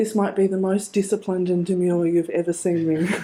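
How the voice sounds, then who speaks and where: With an Australian accent and a dark, mellow tone, a woman speaks at a moderate pace on a very clean recording with a silent background. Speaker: criminologist. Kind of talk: conference presentation.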